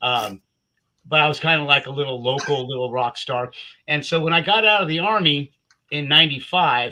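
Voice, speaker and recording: A man speaks quickly in an American accent, at a fairly high pitch. His tone is bright and sharp, with ordinary pitch variation. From US West Coast, Southern California. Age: 60s. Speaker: Army veteran and Kiss fan. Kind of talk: casual storytelling on a livestream. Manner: halting, many repeated words.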